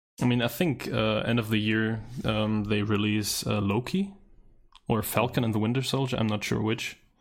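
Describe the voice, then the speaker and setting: A man with a non-native accent speaks at a fairly low pitch and a moderate pace. His intonation is fairly even and his loudness very even. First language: not English. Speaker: movie podcast co-host. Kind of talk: casual chat.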